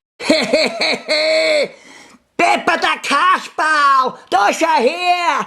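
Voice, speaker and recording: In a put-on character voice, a man speaks at a very slow pace with an extremely high pitch. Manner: mocking, cackling.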